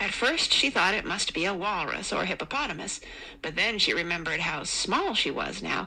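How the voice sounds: A natural voice reads the text aloud.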